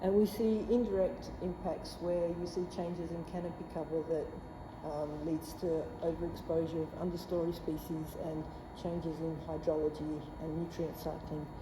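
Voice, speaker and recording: A woman speaks at a moderate pace with a fairly low pitch and fairly even intonation. Noticeable background noise and audible room echo surround her voice. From southwest Australia. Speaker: plant pathologist, scientist. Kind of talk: lecture. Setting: presentation at meeting with audience.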